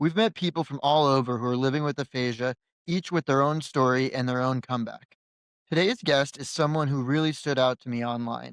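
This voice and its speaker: A man with a plain, everyday voice talks fairly quickly at a fairly high pitch, with ordinary pitch variation and a dry, close sound with no echo. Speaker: podcast host. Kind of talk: podcast intro.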